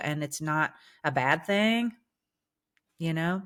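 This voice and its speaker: Over a silent background in a very clean recording, a woman with a very deep, low pitch speaks at a fairly slow pace with ordinary pitch variation. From English-speaking country, lives in Germany. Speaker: singer and vocal coach turned public speaker. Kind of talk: interview conversation.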